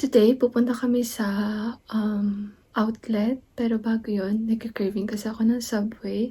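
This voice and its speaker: Soft-spoken and somewhat breathy, a woman speaks fairly slowly in a dark, mellow tone with monotone, flat intonation. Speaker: vlogger. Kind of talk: casual vlog chat. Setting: at home, partner in meeting next room.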